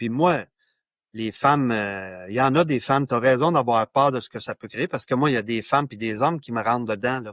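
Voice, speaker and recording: In a Quebec accent, a man speaks at a moderate pace and medium pitch, his voice dry and close with no echo against a quiet background. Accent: Québécois French. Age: 60s. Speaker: author and men's issues pioneer. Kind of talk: podcast interview.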